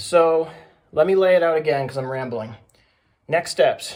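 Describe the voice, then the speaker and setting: Moderate pace and ordinary pitch variation. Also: man. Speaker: DIY bus conversion vlogger. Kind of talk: casual vlog talk.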